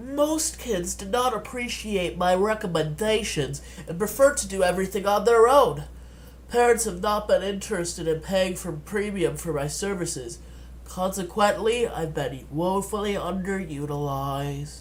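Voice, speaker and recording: Over clear background noise, a man uses a put-on character voice. It sits at a high pitch and moves at a moderate pace. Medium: read story. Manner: chipper, formal, eager to help.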